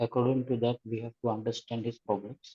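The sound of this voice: A man's voice has a slightly mellow tone and a slightly husky edge. The sound is dry and close, with no echo.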